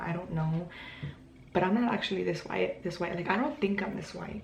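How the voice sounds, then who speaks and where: There is noticeable background noise and audible room echo as a woman with a Spanish accent talks fairly quickly at a fairly low pitch. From Mexico. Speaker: YouTuber, language learner. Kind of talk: casual vlog tutorial. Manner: casual, hesitant with many fillers.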